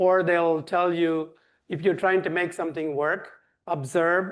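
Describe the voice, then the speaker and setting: Against a quiet background, a man speaks with a Tamil accent in a fairly high voice. His intonation is monotone and flat at a moderate pace. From India (Tamil-speaking south). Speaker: nonprofit director. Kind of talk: Q&A answer; lecture.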